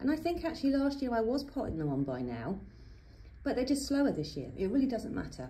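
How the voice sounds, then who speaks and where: A woman with an English accent talks at a fairly quick pace in a dark, mellow tone with vocal fry and very wide pitch swings, and audible room echo surrounds her. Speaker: gardening youtuber. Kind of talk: tutorial. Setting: greenhouse. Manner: chatty.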